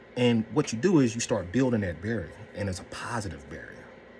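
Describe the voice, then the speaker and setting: A man's voice with ordinary pitch variation over music in the background. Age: 40s. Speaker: mental health vlogger. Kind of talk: casual talk to camera.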